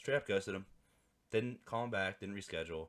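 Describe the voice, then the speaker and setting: Vocal fry marks a man's voice, which shows ordinary pitch variation. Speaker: vlogger. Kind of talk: casual monologue. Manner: animated; halting.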